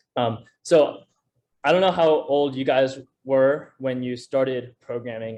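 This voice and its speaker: A man with an American accent speaks in a plain, everyday voice at a medium pitch with ordinary pitch variation. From US Northeast, Connecticut. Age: 18. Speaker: student, competitive programmer. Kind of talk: seminar talk. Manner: many fillers and repetitions.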